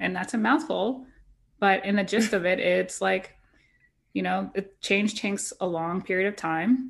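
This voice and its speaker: A woman speaks fairly slowly at a medium pitch, with ordinary pitch variation and vocal fry. The background is quiet. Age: 30s. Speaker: podcast co-host. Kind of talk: casual chat.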